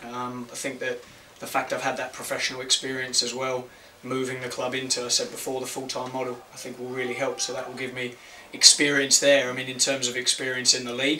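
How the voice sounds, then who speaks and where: Over noticeable background noise and audible room echo, a man speaks very fast at a medium pitch, his intonation monotone and flat while his loudness swings a lot. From Australia. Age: 30s. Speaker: football manager. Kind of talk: press conference. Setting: press conference room. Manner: hesitant, many fillers.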